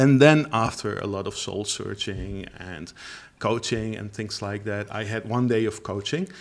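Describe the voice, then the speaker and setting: A man with a Dutch accent, fairly low in pitch, at a fairly slow pace. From Netherlands. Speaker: language teacher. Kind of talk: interview. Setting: studio. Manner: halting.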